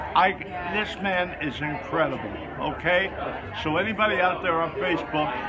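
A man talks with long, frequent pauses. Loud background noise runs behind him. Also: moderate pace. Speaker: voice actor. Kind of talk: casual talk to camera, endorsement. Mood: warm, enthusiastic. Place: hall. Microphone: phone near.

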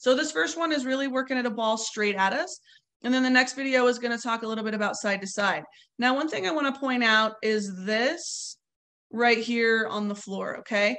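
Bright, sharp tone at a moderate pace with ordinary pitch variation. The background is quiet. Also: woman, fairly high pitch for a woman. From Colorado. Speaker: softball coach. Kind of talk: webinar instruction. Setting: video webinar. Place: home room. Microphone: webcam.

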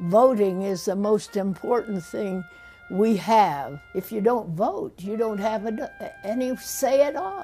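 A woman with an American accent speaks at a fairly high pitch, with faint music in the background. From United States. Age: 80s+. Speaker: elderly voter and former convention delegate; interviewee. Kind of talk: interview answer. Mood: earnest, firm conviction. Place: home room.

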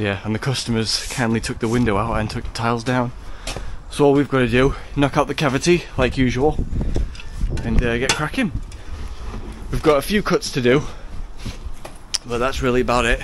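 Speech comes at a fairly quick pace with ordinary pitch variation, in a dry sound with no echo and light background noise. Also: man. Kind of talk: casual vlog chat. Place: garden. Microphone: phone near.

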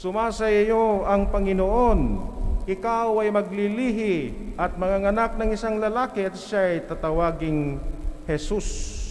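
A man speaks at a very slow pace in a high pitch, his tone warm and his intonation fairly even. Light background noise sits behind him. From Philippines. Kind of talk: sermon. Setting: church. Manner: earnest, steady, teacherly, with rhetorical questions; warm, pastoral, mixes Tagalog and English. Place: church. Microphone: podium.

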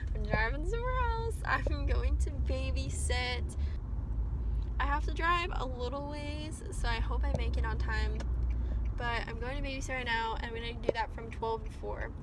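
A woman at a moderate pace, dry sound with no echo, and loud background noise. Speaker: vlogger. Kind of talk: casual vlog chat. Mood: cheerful, relaxed. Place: car. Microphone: phone near.

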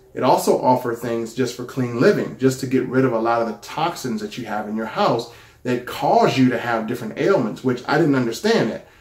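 Amid audible room echo, a man talks at a fairly quick pace with hardly any pauses and ordinary pitch variation. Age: 40s. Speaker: YouTuber sharing a product testimonial. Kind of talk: personal testimony. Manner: casual, conversational. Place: home room. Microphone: phone near.

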